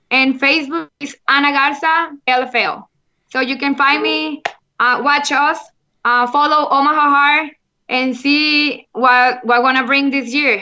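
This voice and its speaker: A woman with a Mexican accent speaks at a fairly slow pace in a raised, projected voice. Her pitch is high, her tone bright and sharp, and her intonation fairly even. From Monterrey, Mexico. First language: Spanish. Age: 30s. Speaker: football player. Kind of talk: interview chat. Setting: remote call from Mexico. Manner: halting, non-fluent English.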